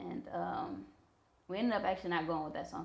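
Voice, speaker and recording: There is audible room echo around this voice. A woman speaks with an American accent. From Missouri, US Midwest. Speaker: rapper and songwriter. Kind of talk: interview.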